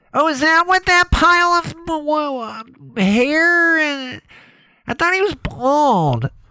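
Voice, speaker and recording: A woman does a put-on character voice at an extremely high pitch, speaking at a very slow pace with long, frequent pauses, very even loudness and ordinary pitch variation, in a dry, close sound with no echo. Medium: comedy sketch. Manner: brash, flirtatious.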